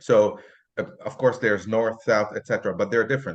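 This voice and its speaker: Against a quiet background, a man speaks with an Arabic accent. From Lebanon. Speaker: photographer and language content creator. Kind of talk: interview conversation. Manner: casual.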